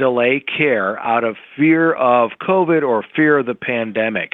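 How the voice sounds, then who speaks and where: In a normal speaking voice, a man speaks at a fairly slow pace with medium pitch and lively intonation. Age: 50s. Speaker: hospital chief executive. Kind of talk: interview. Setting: podcast recording.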